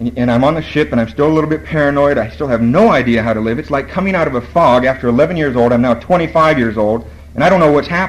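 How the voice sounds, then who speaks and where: Very fast, lively speech from a man of medium pitch, against noticeable background noise. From Borneo. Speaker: AA speaker. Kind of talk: recovery talk.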